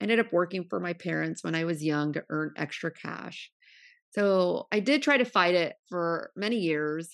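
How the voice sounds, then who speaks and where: Against a quiet background, a woman with an American accent and an unremarkable speaking voice talks in a fairly low pitch with ordinary pitch variation. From California, Central Valley (Modesto). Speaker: podcast host and supplement entrepreneur. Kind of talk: interview.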